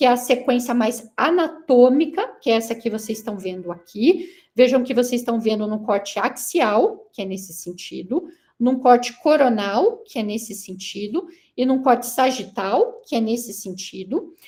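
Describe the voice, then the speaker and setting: A woman's high-pitched voice, dark and mellow in tone, with lively intonation at a moderate pace. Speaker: neurosurgeon giving a guest lecture. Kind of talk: lecture.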